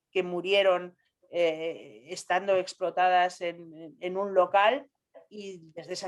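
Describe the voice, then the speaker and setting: Here a woman is speaking. Her pitch sits fairly low. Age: 60s. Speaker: scientist. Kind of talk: panel discussion. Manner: halting.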